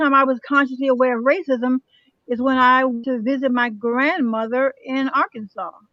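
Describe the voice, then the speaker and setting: A woman with an American accent speaks at a fairly quick pace and a high pitch. Her tone is bright and sharp, with ordinary pitch variation and a dry, close sound with no echo. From Chicago, US Midwest. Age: 70s. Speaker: panelist sharing life stories. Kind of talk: panel discussion.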